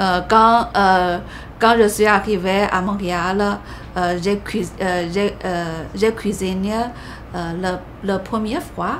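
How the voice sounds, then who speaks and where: With a Chinese accent, a woman talks at a very slow pace in a flat monotone, with noticeable background noise and audible room echo. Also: medium pitch for a woman. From China. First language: Mandarin (speaking French). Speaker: immigrant sharing her story. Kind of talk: interview. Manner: halting, many hesitations.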